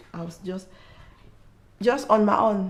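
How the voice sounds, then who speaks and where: A woman speaking fairly slowly in a room with audible echo. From Africa. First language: not English. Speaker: mother sharing mental health experience. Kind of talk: testimony. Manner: halting.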